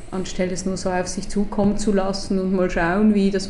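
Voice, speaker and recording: A woman talks at a moderate pace and a medium pitch. Room echo is audible, and background noise is noticeable. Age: 40s. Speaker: strategic designer, education co-founder. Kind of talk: casual interview. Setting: in person at office.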